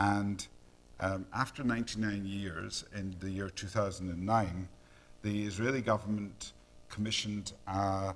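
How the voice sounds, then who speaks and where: In a Scottish accent, a man speaks fairly slowly in a fairly low pitch with monotone, flat intonation. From Scotland. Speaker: neonatologist and professor. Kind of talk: lecture. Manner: hesitant, many fillers.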